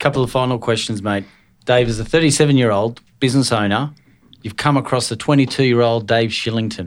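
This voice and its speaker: The recording is very clean and the background silent. Speaking with an Australian accent, a man keeps his intonation fairly even. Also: medium pitch for a man. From Scotland. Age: 40s. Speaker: podcast host and business owner. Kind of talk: casual interview.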